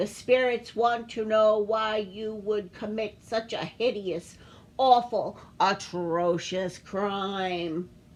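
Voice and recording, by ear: Using a put-on character voice, a woman speaks at a very slow pace. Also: medium pitch for a woman.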